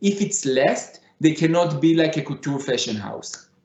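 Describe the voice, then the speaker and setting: Speaking at a fairly slow pace with a Middle Eastern accent, a man uses a high pitch and lively intonation. Audible room echo surrounds his voice. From Israel (Tel Aviv). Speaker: fashion designer. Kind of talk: conference presentation. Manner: halting.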